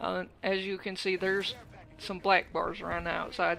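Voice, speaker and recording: Noticeable background noise behind a woman with a medium pitch. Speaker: gamer / YouTuber. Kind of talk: gaming voice-over commentary. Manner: slight stutter, hesitant.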